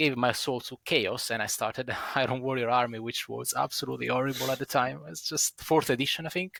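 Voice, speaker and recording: On a very clean recording with a silent background and a dry, close sound with no echo, a man speaks at a fairly quick pace in a medium-pitched voice with a bright, sharp tone. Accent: Italian. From Italy. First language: Italian. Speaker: wargaming club member, podcast panelist. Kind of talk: casual chat.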